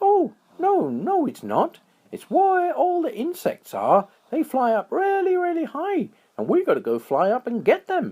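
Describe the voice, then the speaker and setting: A put-on character voice from a man, pitched extremely high, at a moderate pace. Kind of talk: bedtime story. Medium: read story.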